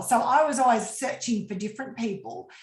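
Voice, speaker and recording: A woman with an Australian accent at a fairly quick pace, amid audible room echo and noticeable background noise. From Australia, rural western New South Wales. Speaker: business coach. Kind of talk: casual interview.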